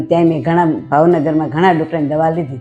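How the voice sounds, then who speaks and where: Over music in the background, a woman talks with a very deep, low pitch and fairly even intonation. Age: 70s. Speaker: diabetes patient. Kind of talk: patient testimonial interview answers. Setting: hospital.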